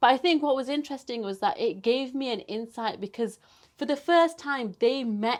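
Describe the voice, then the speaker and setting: An animated woman with a Yorkshire accent at a fairly quick pace. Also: very clean recording, silent background. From northern England, Bradford. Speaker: broadcast journalist. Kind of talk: casual interview chat.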